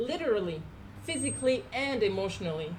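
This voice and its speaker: A woman with a Quebec French accent talks at a moderate pace and medium pitch with lively intonation. Audible room echo surrounds her voice. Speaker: housing cooperative resident. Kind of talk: public speech. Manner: halting.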